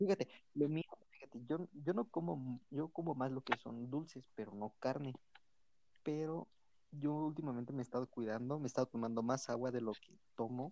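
In a Mexican accent, a man talks at a moderate pace with a dark, mellow tone. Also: medium pitch for a man, ordinary pitch variation. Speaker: podcast host. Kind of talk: casual chat.

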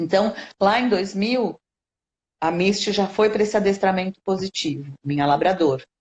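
A woman speaks at a moderate pace and a medium pitch with ordinary pitch variation in an unremarkable speaking voice. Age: 50s. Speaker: educator and animal-assisted therapy specialist. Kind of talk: interview conversation.

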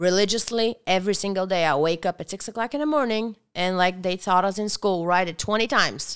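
Ordinary pitch variation and a fairly quick pace mark this speaker with a Bulgarian accent, heard in a very clean recording against a silent background. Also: woman. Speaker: restaurant owner. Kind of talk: casual chat. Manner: animated.

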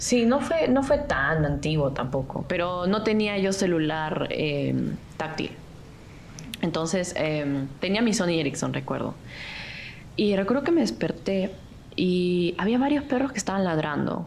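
Amid noticeable background noise and audible room echo, a woman speaks at a medium pitch and a fairly slow pace with very wide pitch swings, very even loudness and long, frequent pauses. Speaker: architecture student. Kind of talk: casual chat.

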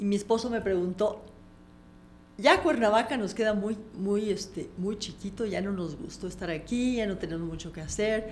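A woman's medium-pitched voice at a moderate pace with ordinary pitch variation, plus audible room echo and noticeable background noise. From Mexico, Comitán, Chiapas. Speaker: life coach and author. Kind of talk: interview. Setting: studio.

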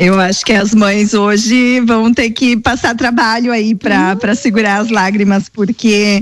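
A plain, everyday voice from a woman, fairly high in pitch, with fairly even intonation. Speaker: radio co-host. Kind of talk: live radio show. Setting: radio studio.

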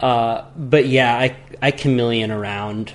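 A man with an American accent talks at a medium pitch with fairly even intonation over noticeable background noise. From Santa Cruz, California. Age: 20s. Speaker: big wave surfer and podcast host. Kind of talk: casual chat.

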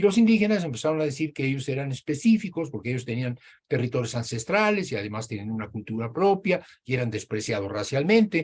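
A somewhat breathy man with a medium pitch talks very fast, his voice making very wide pitch swings. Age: 80s+. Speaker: professor. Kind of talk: lecture.

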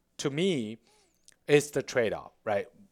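Speaking in a Chinese accent, a man keeps a moderate pace with lively intonation. The recording is very clean, with a silent background. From China, Beijing. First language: Mandarin Chinese. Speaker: tech startup founder and CEO. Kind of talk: interview.

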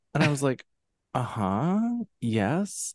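Against a quiet background with a dry, close sound and no echo, a man with an American accent speaks at a fairly slow pace, his pitch swinging very widely. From central Pennsylvania. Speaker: actor, singer and author. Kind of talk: casual chat.

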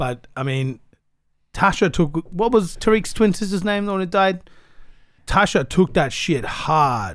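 Using long, frequent pauses, a man with an Australian accent talks at a fairly slow pace in a high pitch with lively intonation. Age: 30s. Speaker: rapper. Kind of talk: casual chat.

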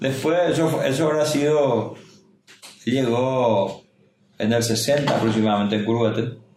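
Pausing long and often, a man talks at a fairly slow pace and medium pitch, with ordinary pitch variation, very even loudness and audible room echo. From Paraguay, Itacurubí del Rosario; raised in Salto del Guairá. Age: 50s. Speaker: mayoral candidate. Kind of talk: interview.

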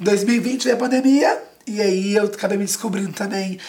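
Noticeable background noise runs under the clip. A woman speaks at a moderate pace and medium pitch. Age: 20s. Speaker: actor and children's entertainer. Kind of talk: casual interview. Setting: TV studio.

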